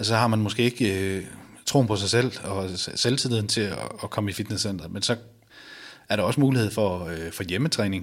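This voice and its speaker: A man with a fairly low voice and ordinary pitch variation speaks at a moderate pace, broken by long, frequent pauses. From Denmark, Viborg (Jutland). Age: 30s. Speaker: balcony fitter sharing weight-loss story. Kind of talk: interview testimony. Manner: halting, many fillers.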